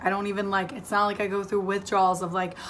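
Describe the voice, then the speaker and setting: A woman talks at a medium pitch. Room echo is audible around her voice. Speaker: vlogger. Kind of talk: casual vlog. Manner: chatty, filler words.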